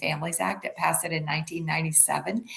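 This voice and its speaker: A woman talks at a fairly quick pace with ordinary pitch variation. The recording carries audible room echo and noticeable background noise. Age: 70s. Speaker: suspended family lawyer and advocate. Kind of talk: interview.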